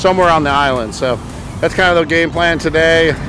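A man at a fairly quick pace with ordinary pitch variation, his voice dry with no echo, music in the background. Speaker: fishing vlogger. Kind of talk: casual vlog chat. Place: beach. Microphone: phone near.

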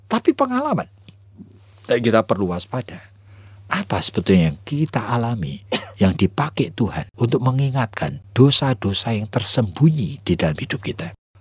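Vocal fry and very wide pitch swings mark this moderate-paced voice, heard in a dry, close sound with no echo against a quiet background. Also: man, medium pitch for a man. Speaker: pastor. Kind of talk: radio sermon.

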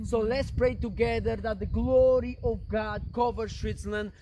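An intense-sounding man at a moderate pace, with light background noise. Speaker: missionary preacher. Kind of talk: fervent prayer, leading a group in intercession; sermon-like address with prayer. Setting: outdoors in the mountains. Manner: intense, earnest, declaratory; repetitive, call-and-response rhythm. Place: open country. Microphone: camera far.

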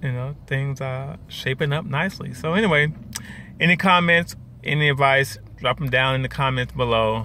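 Moderate pace and ordinary pitch variation, in a dry sound with no echo and light background noise. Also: man. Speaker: vlogger. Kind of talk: casual vlog chat. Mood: relaxed, upbeat. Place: car. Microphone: phone near.

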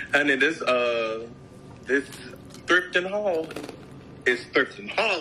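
Speaking at a slow pace, a man with a medium pitch delivers lively intonation in a bright, sharp tone.

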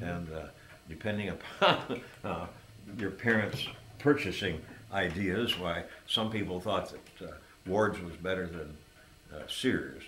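With an American accent and a very deep, low pitch, a man speaks in a relaxed tone at a fairly slow pace, with ordinary pitch variation, big swings in loudness, long and frequent pauses, audible room echo and light background noise. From Hector, New York, USA. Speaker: oral history interviewee, lifelong local resident. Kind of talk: oral history interview answer. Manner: relaxed, reminiscing. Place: home room. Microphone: camera far.

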